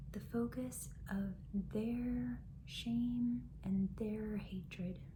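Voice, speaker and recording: Soft-spoken, a woman talks at a very slow pace. Noticeable background noise sits behind her. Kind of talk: soft-spoken self-help talk to camera.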